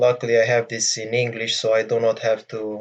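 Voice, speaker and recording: This man speaks with a Romanian accent at a medium pitch. His voice is somewhat breathy, and the pace is moderate. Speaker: gaming tutorial youtuber. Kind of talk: tutorial. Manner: hesitant, many fillers. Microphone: voice may be quieter than game audio.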